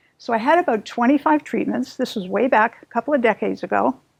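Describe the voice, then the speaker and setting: Fairly high female voice with vocal fry, in a dry, close sound with no echo. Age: 70s. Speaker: patient. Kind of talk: testimony.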